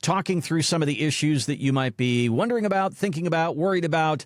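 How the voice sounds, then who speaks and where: Here a man talks at a fairly quick pace. His pitch is fairly high. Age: 60s. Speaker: podcast co-host. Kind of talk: casual chat.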